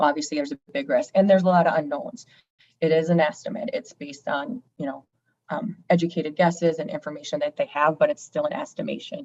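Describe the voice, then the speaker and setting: Very fast and with very wide pitch swings, a woman speaks at fairly low pitch. The sound is dry and close with no echo. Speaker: auditor presenting financial audit to board. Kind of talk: board meeting presentation.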